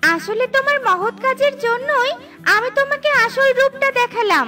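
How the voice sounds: Cartoonish character voice, bright and sharp, with lively intonation at a moderate pace over faint music in the background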